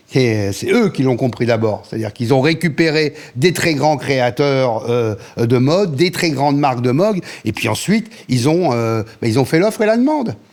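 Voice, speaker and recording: A man at a medium pitch speaks with lively intonation at a moderate pace over noticeable background noise. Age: 60s. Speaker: radio programming director. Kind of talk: interview. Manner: fillers and repetitions.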